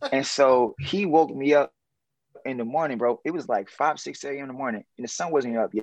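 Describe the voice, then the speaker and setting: A man with an American accent and a plain, everyday voice, medium pitch, ordinary pitch variation and a fairly quick pace, recorded dry and close with no echo over a quiet background. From New Orleans, US South. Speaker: consultant and business developer. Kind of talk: casual interview chat.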